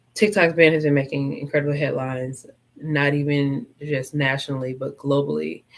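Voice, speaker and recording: A woman speaks with a very deep, low pitch. Her pace is fairly quick, and her intonation is fairly even. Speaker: podcast host. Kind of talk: casual solo talk partly from a script. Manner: choppy at times; conversational with many fillers.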